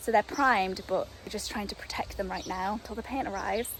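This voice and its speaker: A woman's fairly high voice at a fairly quick pace, with ordinary pitch variation and noticeable background noise. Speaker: home renovation vlogger. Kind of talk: casual vlog house tour. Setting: outdoors. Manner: loud.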